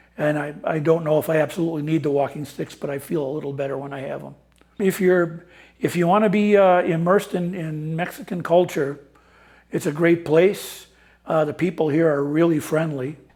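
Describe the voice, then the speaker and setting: On a very clean recording with a silent background, a man with an Upper Midwest accent talks at a fairly quick pace with fairly even intonation. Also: fairly high pitch for a man. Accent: Upper Midwest American. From US Midwest (Wisconsin/Minnesota). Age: 70s. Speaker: retiree living abroad. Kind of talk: interview testimony. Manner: halting, many fillers and repeats.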